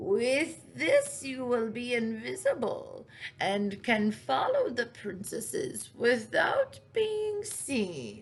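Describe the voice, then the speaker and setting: This woman delivers a put-on character voice very slowly. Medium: read story.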